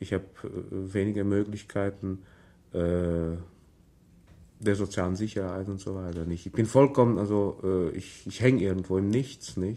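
Using fairly even intonation, a man with a dark, mellow tone speaks with long, frequent pauses. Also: moderate pace. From Transylvania, Romania. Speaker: writer. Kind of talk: radio interview; reading aloud. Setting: radio studio. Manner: halting.

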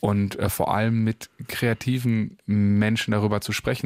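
On a very clean recording with a silent background, the voice is monotone, with flat intonation. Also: man. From Paderborn, Germany. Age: young. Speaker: singer-songwriter. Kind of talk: radio interview. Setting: radio studio.

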